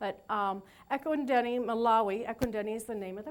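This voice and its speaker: A woman speaks at a fairly quick pace. Audible room echo can be heard. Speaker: nursing professor and registered nurse. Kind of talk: lecture. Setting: lecture hall with audience, PA system. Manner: halting, many fillers.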